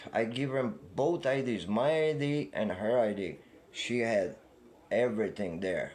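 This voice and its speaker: A man with an Eastern European accent, medium in pitch and fairly slow, with lively intonation and audible room echo. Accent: foreign accent (Eastern European). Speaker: upset customer. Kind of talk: heated argument. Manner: halting, stammering.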